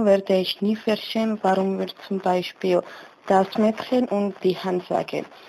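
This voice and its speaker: A woman's medium-pitched voice in a Georgian accent, with fairly even intonation and noticeable background noise. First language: Georgian (speaking German). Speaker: German learner. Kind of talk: personal portrait monologue. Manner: halting, with filler sounds.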